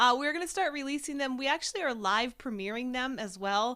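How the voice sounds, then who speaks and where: Loud and fairly quick, the voice has a bright, sharp tone and lively intonation on a very clean recording with a silent background. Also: woman. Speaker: vlogger and live show co-host. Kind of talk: casual chat. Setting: live stream.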